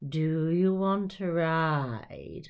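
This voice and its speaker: A put-on character voice at a middle pitch. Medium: read story. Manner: sly, slithery.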